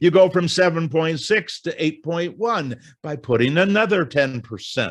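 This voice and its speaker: Moderate in pace, this man's speech moves steadily along. His pitch swings very widely. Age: 70s. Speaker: financial educator. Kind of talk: lecture.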